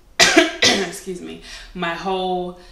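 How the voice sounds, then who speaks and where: A woman's medium-pitched voice amid audible room echo and noticeable background noise. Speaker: beauty vlogger. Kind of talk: casual monologue to camera.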